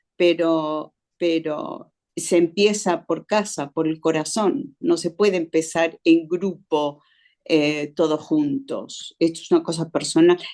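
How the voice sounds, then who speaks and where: A woman speaks at a very slow pace with fairly low pitch. Her tone is dark and mellow, with ordinary pitch variation. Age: 70s. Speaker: church member in Bible study. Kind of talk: group Bible study discussion.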